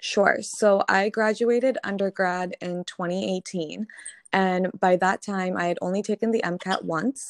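An unremarkable speaking voice from a woman, medium-pitched, fairly even in intonation, fairly slow, with a dry, close sound and no echo. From Connecticut, US. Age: 20s. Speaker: medical student. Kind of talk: casual interview.

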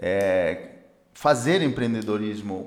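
A fairly low male voice with lively intonation, a slight non-native accent and audible room echo. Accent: slight foreign accent in Portuguese. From Peru, Andes. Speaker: economist and educator. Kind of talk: casual interview.

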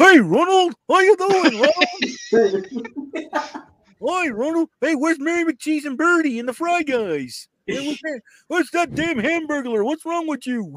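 A man puts on a character voice at an extremely high pitch. Long pauses come frequently. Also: fairly slow pace. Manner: dopey, goofy.

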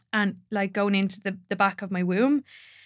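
A woman with an Irish accent speaks at a medium pitch and moderate pace, in a monotone, flat intonation, on a very clean recording with a silent background. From Ireland. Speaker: doula and women's ceremony facilitator. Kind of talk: casual chat.

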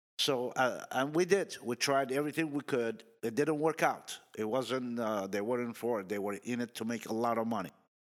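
A man's plain, everyday voice at medium pitch, with ordinary pitch variation, a moderate pace and hardly any pauses, on a very clean recording with a silent background. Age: 60s. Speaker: car dealership employee. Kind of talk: casual chat.

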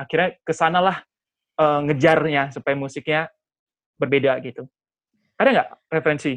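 Long, frequent pauses interrupt speech delivered at a moderate pace. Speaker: talk show host. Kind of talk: casual panel discussion. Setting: video call.

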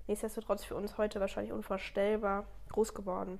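This woman's voice sits fairly high. She talks fairly quickly. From Germany, Ludwigshafen area (Palatinate). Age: 20s. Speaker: master baker. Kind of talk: casual interview.

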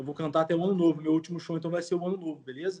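A man with a high pitch talking at a very fast pace. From Brazil, São Paulo state (Jundiaí/Campinas). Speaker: Brazilian emigrant and amateur musician. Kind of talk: casual chat.

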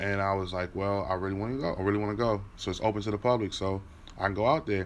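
With an American accent, a man speaks in a normal speaking voice, fairly low in pitch and with fairly even intonation. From Washington, D.C. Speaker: podcast host, sportswriter. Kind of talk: personal storytelling monologue. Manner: casual, frequent fillers.

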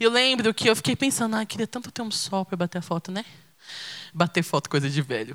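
A woman at a medium pitch talks very fast, her pitch swinging very widely. The recording is very clean with a silent background and a dry, close sound with no echo. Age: 20s. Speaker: preacher. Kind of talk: sermon.

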